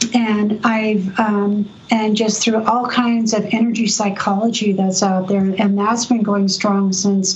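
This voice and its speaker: Amid noticeable background noise, a woman speaks very slowly at a medium pitch, her intonation monotone and flat. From US West Coast, San Diego. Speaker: energy medicine practitioner and educator. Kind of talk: storytelling interview.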